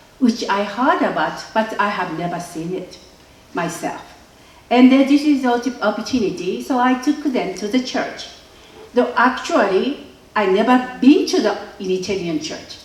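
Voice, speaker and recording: A woman with a Japanese accent speaks at a moderate pace and a fairly high pitch, with very wide pitch swings. Audible room echo and noticeable background noise fill the recording. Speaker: filmmaker. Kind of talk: interview. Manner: halting.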